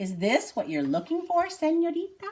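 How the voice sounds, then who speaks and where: A woman's put-on character voice, extremely high and squeaky, at a moderate pace. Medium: read story.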